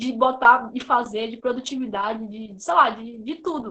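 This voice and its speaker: Speaking fairly quickly, the woman has a high, bright and sharp voice. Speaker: student junior enterprise member presenting a sales case. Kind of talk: online presentation. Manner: fast.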